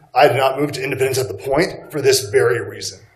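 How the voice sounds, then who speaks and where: Someone with an American accent speaks at a fairly quick pace. Room echo can be heard. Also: man. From Texas. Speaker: resident speaking at public comment. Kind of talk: public comment. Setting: public meeting.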